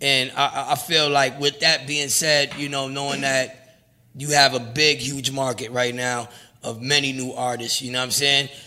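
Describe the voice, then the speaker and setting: A man's medium-pitched, monotone, flat delivery at a moderate pace, amid noticeable background noise. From New York, Brooklyn (Brownsville). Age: 40s. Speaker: rapper and producer. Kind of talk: casual interview.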